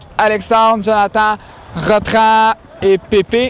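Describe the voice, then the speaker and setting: A man speaks in a high pitch with a Quebec accent. Crowd noise carries in the background. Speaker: student sports blog interviewer. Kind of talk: post-game interview. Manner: casual, halting with retakes.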